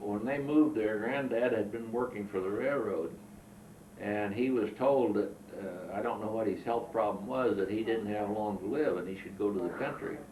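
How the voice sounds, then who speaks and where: Over noticeable background noise and audible room echo, a man with a fairly low pitch talks at a moderate pace with ordinary pitch variation. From southern Illinois. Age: 70s. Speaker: war veteran. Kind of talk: oral history interview. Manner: halting.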